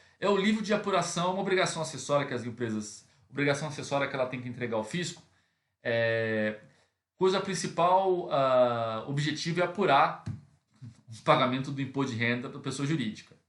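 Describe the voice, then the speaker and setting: A man's fairly high voice, fairly quick, with lively intonation and big jumps in volume. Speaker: accounting teacher. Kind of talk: lecture. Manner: fast; hesitant fillers.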